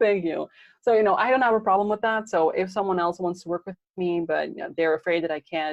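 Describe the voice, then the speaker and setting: A woman talks at a very fast pace and medium pitch with a Dutch accent. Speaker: podcasting coach. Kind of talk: interview.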